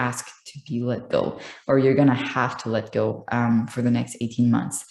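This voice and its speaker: The voice has a dark, mellow tone. It speaks with a French accent. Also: woman. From France. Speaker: astrologer. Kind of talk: astrology tutorial monologue. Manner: many filler ums.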